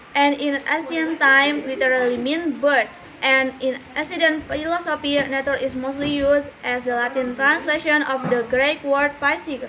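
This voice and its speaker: Over noticeable background noise, a woman projects a raised, high-pitched voice at a moderate pace. Her intonation is flat and monotone. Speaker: university student. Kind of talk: reading aloud. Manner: halting.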